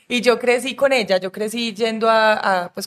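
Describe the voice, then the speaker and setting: With an unremarkable speaking voice, a woman talks at a moderate pace and with ordinary pitch variation. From Colombia, Medellín. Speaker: film director. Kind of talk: casual chat.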